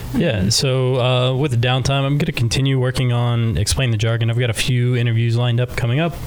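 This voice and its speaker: Amid noticeable background noise, a man at medium pitch talks at a very fast pace with hardly any pauses, very even loudness, and fairly even intonation. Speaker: ship bartender and expedition diver. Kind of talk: casual chat.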